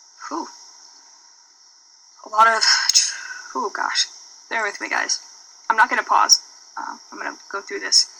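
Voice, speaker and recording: The voice moves at a moderate pace with long, frequent pauses. Noticeable background noise runs underneath. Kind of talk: testimony. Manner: halting, stammering.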